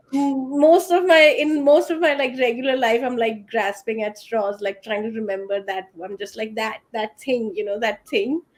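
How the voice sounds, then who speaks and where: A woman with an Indian accent, fairly high in pitch, lively in intonation, at a moderate pace with hardly any pauses. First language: Hindi. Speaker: writer. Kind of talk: panel discussion.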